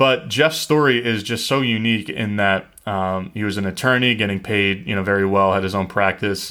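Using a normal speaking voice, a man talks at a moderate pace with hardly any pauses, his fairly low pitch showing ordinary pitch variation. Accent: American. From US Northeast. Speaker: podcast host, real estate investor. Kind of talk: podcast intro.

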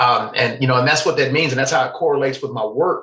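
Loud and bright, a man with a Southern US accent talks in a sharp tone. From US South. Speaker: faith outreach director, recovery advocate. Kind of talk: casual interview chat. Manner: loud, animated.

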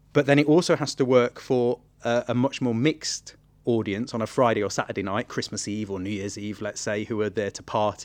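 A man with a medium-pitched voice speaks fairly quickly, his pitch varying in an ordinary way. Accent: East Midlands. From England, Nottingham. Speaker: theatre artistic director. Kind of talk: interview.

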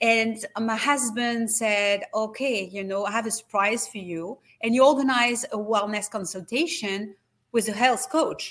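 A woman with a French accent speaks at a fairly slow pace, her fairly high pitch showing ordinary variation while her loudness swings widely. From France. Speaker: wellness retreat company executive. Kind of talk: interview. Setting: video call.

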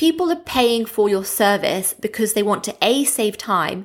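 A woman talks at a fairly high pitch with an Australian accent. The recording is very clean, with a silent background. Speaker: podcast host and SEO educator. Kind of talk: solo podcast episode, educational talk. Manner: casual, conversational, filler words; friendly, laughs often.

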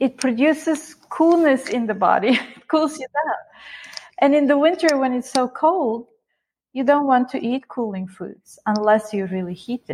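At a moderate pace, a woman talks with a high pitch and lively intonation. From Bulgaria. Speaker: Ayurvedic chef and educator. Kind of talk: interview.

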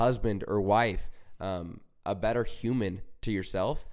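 A man with a fairly low pitch talks over a silent background in a very clean recording. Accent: Utah. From Utah. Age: young. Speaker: recovery speaker and young entrepreneur. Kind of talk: casual interview.

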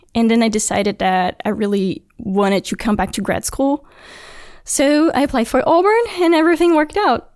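In a Brazilian accent, a woman speaks at a high pitch with very wide swings, on a very clean recording with a silent background. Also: moderate pace. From Brazil (Brasilia). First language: Portuguese. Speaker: engineering graduate student. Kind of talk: interview.

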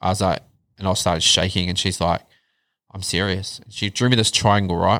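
In a very clean recording with a silent background, a man speaks fairly quickly at a fairly low pitch in a monotone, flat delivery. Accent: New Zealand. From New Zealand, Wellington (Upper Hutt). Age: 40s. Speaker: podcast guest sharing mental health journey. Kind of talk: casual chat.

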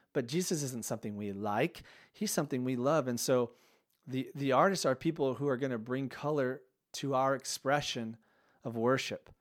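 In a very clean recording with a silent background, a man speaks in a normal speaking voice, medium in pitch with ordinary pitch variation. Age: 30s. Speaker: worship leader podcast host. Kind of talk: solo podcast monologue. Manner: casual, conversational with frequent fillers.

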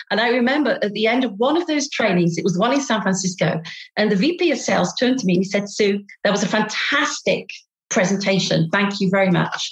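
A woman with a British accent speaks at a fairly quick pace in a medium pitch. Her voice is somewhat breathy, with lively intonation. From England. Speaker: business co-founder and consultant. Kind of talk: casual interview.

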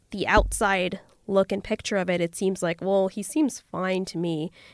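An unremarkable speaking voice with a Canadian accent and ordinary pitch variation comes through a very clean recording with a silent background and a dry, close sound with no echo. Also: woman. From Toronto, Canada. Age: 20s. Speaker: podcast guest. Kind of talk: casual chat.

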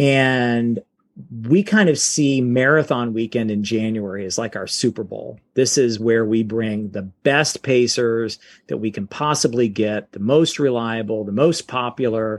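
A man speaks fairly slowly in an unremarkable speaking voice at a medium pitch. His pitch variation is ordinary, and the background is quiet. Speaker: race pacer coordinator. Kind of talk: interview.

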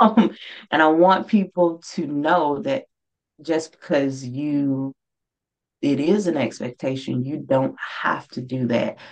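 Speaking very slowly with long, frequent pauses, a woman uses a very deep, low voice with ordinary pitch variation. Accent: Mississippi. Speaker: author. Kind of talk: interview.

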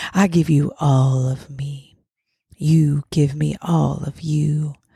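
A playful woman's voice, very deep and low in pitch, with a dark, mellow tone and a somewhat breathy quality. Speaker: podcast host and poet. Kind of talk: spoken word poem reading, sensual and intimate. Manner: expressive, slow and sultry delivery with building intensity; playful, emotive.

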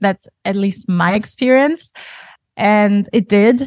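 A woman at a fairly slow pace with fairly even intonation, dry and close with no echo, against a quiet background. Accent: German. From Germany. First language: German. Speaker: yoga teacher and studio owner. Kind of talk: casual interview.

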